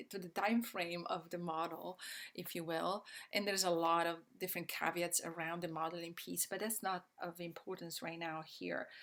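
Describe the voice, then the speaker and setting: This woman speaks with an Italian accent at a moderate pace. Her voice sits fairly low in pitch. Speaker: systems change educator. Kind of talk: online presentation. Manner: halting, many fillers.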